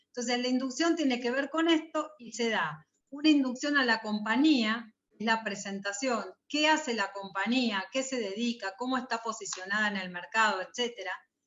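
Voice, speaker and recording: A woman with a plain, everyday voice and fairly high pitch talks at a moderate pace with lively intonation. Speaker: university lecturer. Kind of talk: lecture.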